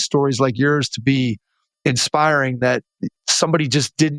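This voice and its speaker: This is an ordinary speaking voice, a man at medium pitch talking at a fairly quick pace with ordinary pitch variation. The sound is dry and close with no echo, on a very clean recording with a silent background. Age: 50s. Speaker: basketball podcast host. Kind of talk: interview.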